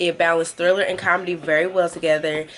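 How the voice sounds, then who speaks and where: Over background music, a woman talks at a very fast pace and a medium pitch. Her tone is animated. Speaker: beauty and movie review YouTuber. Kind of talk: casual vlog review while doing makeup.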